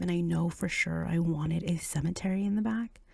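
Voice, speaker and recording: Speech comes at a fairly slow pace. The volume is quiet. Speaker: gaming video creator. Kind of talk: casual gameplay commentary. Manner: quiet, low volume.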